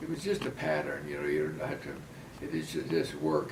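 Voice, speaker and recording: Moderately paced male speech amid noticeable background noise. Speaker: grandfather telling life stories. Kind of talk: casual storytelling in an interview setting.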